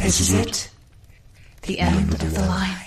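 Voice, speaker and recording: In a put-on character voice, the speaker talks at a very deep, low pitch with monotone, flat intonation and a fairly slow pace. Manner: menacing, gloating.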